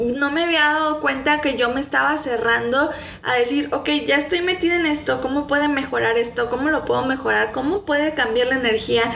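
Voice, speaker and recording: A woman with a high pitch speaks at a fairly quick pace with ordinary pitch variation, very even loudness and hardly any pauses, amid audible room echo and noticeable background noise. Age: 30s. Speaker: spiritual podcast host. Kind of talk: personal monologue. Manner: warm.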